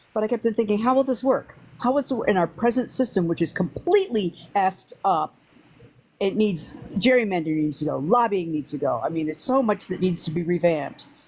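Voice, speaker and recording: A woman speaks fairly quickly at medium pitch with lively intonation. Background noise is noticeable. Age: 70s. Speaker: chatroom participant and social media promoter. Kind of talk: casual chat.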